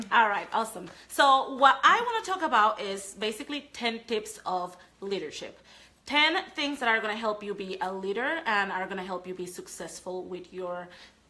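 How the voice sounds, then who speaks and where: With a Panamanian accent, a woman speaks at a moderate pace in a fairly high voice, her intonation lively and her loudness swinging widely. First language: Spanish. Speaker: sales trainer. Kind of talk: live training talk.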